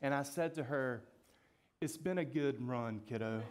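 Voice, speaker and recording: A man speaks with a Southern US accent at a moderate pace. His pitch is fairly high, with ordinary variation. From Georgia, US. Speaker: pastor. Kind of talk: sermon.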